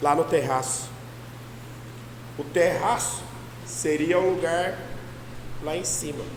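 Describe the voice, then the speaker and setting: With a fairly high pitch and ordinary pitch variation, a man speaks with long, frequent pauses, amid noticeable background noise and audible room echo. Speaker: pastor. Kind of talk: sermon.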